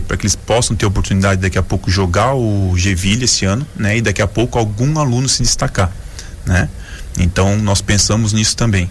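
Noticeable background noise sits behind a man who talks very fast at a fairly low pitch with ordinary pitch variation. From Joinville, Santa Catarina, southern Brazil. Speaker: former volleyball player, social project coordinator. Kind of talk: radio interview.

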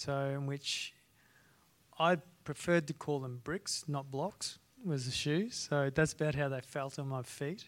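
A man speaks with an Australian accent. The recording is very clean and the background silent. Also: fairly high pitch for a man, fairly even intonation, fairly slow pace. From North Queensland, Australia. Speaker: strength and conditioning coach, former ballet dancer. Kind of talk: live panel discussion. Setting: stage with live audience.

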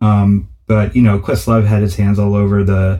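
Somewhat breathy and fairly low-pitched, a man with an American accent talks at a moderate pace. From US Northeast, New Haven, Connecticut. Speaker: music promoter and DJ. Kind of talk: interview.

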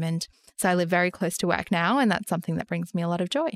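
The recording is very clean with a silent background, and the sound is dry and close with no echo. A woman speaks very fast at a fairly low pitch, her intonation fairly even. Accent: Australian. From Sydney, Australia (western suburbs). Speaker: investment podcast co-host. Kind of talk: casual chat about personal finance.

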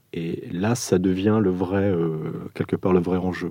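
A man's very deep, low voice with a dark, mellow tone at a fairly slow pace, in a very clean recording with a silent background. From Portugal. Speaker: architect. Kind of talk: interview. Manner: hesitant.

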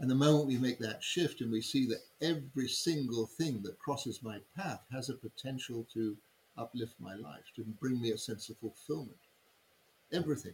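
Somewhat breathy, this man's medium-pitched voice comes with an English accent. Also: ordinary pitch variation, moderate pace. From England. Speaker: human design teacher. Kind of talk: interview.

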